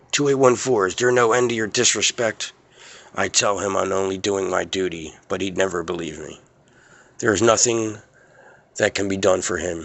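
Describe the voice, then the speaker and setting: Putting on a character voice, a man speaks raspily in a fairly low pitch at a moderate pace, with long, frequent pauses. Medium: cartoon.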